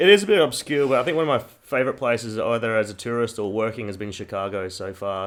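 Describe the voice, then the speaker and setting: A man in a Queensland accent at a very fast pace, with hardly any pauses. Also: very clean recording, silent background. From Queensland, Australia. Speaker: strength and conditioning coach. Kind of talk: casual chat.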